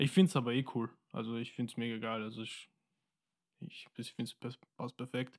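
In a very clean recording with a silent background and a dry, close sound with no echo, a man speaks at a medium pitch and fairly quick pace, with ordinary pitch variation and long, frequent pauses. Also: big swings in loudness. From Austria, Wiener Neustadt. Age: 20s. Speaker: musician. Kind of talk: casual chat.

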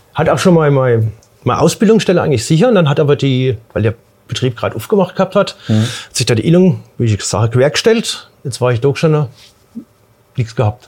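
A man speaks at a fairly quick pace with a fairly high pitch and very wide pitch swings. Long pauses come frequently. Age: 50s. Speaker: pipe welder. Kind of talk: interview.

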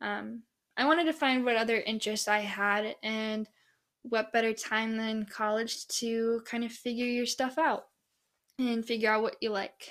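An American accent comes through at a moderate pace with fairly even intonation. The recording is very clean, with a silent background. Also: woman, fairly high pitch for a woman. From Minnesota. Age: young. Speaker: college student podcaster. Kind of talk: casual solo monologue.

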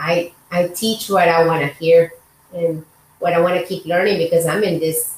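A woman talks with a Spanish accent at a fairly low pitch and fairly even intonation. Noticeable background noise runs behind her. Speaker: podcast host, doctor. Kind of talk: casual interview chat.

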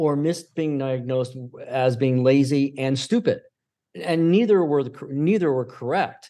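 A man's fairly high voice in a dark, mellow tone at a moderate pace. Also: ordinary pitch variation. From New York State (Syracuse). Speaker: film director and producer. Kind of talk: interview. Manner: halting, many fillers and restarts; talkative.

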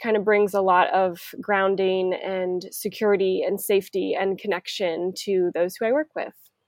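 At a medium pitch and moderate pace, a woman uses a normal speaking voice with fairly even intonation, in a very clean recording with a silent background and a dry, close sound with no echo. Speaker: occupational therapist. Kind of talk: casual chat.

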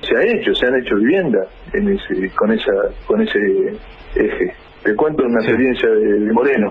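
A man talks at a fairly quick pace with long, frequent pauses and very even loudness over noticeable background noise. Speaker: social movement leader. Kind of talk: radio interview.

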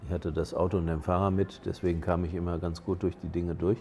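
A man's very deep, low, dark and mellow voice, somewhat breathy, monotone and flat, at a fairly quick pace. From Germany. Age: 60s. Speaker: auxiliary bishop. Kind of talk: casual interview. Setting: on location in Lisbon.

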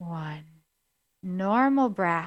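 In a very clean recording with a silent background, a woman speaks at medium pitch in a soothing, calm tone, the sound dry and close with no echo. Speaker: coach and podcast host. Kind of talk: guided meditation. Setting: radio show, podcast. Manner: slow, soothing, calm.

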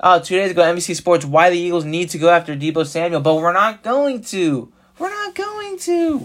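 A man with a high-pitched voice speaks in an animated tone at a fairly quick pace. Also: ordinary pitch variation. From South Jersey. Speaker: sports podcaster. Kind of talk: solo sports rant. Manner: animated, frustrated.

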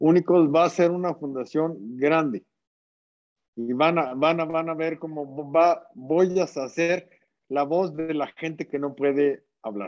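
A very slow delivery with ordinary pitch variation. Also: man, fairly high pitch for a man. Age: 40s. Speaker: social entrepreneur. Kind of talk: casual interview chat. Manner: halting, repeats words.

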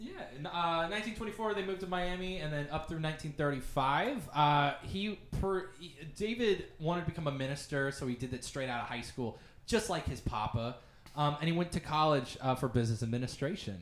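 With an American accent and lively intonation, a man speaks in an unremarkable speaking voice at a fairly high pitch. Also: moderate pace. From US Midwest, Olathe, Kansas. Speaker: podcast guest. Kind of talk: casual chat.

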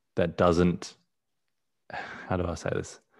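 On a very clean recording with a silent background, a man with an Australian accent speaks at a very deep, low pitch. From born in South Africa, raised partly abroad, lives in Australia. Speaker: photographer. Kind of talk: casual interview chat.

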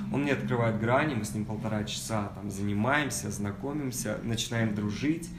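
Speaking at a moderate pace with hardly any pauses, a man uses a fairly low pitch and lively intonation, with noticeable background noise and audible room echo. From Kazakhstan. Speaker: advertising agency founder and actor. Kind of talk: casual talk to an audience.

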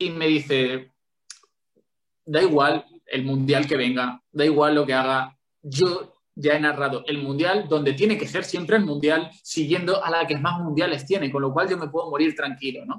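A man with a plain, everyday voice talks in a fairly high pitch at a moderate pace. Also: ordinary pitch variation. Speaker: sports journalist and football commentator. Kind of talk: casual interview chat.

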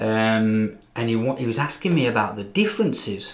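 The speaker has an English Midlands accent and fairly even intonation. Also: man. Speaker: English teacher and podcast co-host. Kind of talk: casual chat.

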